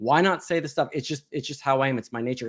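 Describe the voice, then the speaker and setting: A man speaks at a medium pitch in an animated tone, with ordinary pitch variation. The recording is very clean, with a silent background. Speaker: ex-Scientology member. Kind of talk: casual chat. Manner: fast.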